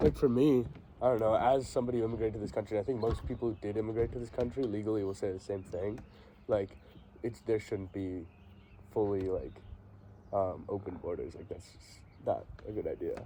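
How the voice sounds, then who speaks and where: Fairly quick, somewhat breathy speech in a dark, mellow tone, broken by long, frequent pauses. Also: man, fairly low pitch for a man, ordinary pitch variation, big swings in loudness. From India, raised in US. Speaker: podcast guest. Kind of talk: casual chat. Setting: in the French Alps.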